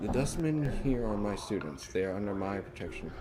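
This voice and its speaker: Over loud background noise, a gravelly put-on character voice moves at a fairly quick pace. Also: man, fairly low pitch for a man. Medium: game stream.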